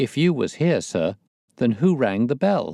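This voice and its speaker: A man uses a put-on character voice, his pitch swinging very widely. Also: medium pitch for a man, moderate pace, very even loudness, dry, close sound with no echo. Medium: read story.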